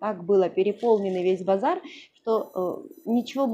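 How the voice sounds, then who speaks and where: There is light background noise. A woman talks at a fairly quick pace. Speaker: vlogger. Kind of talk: casual vlog chat. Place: home room. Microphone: lapel.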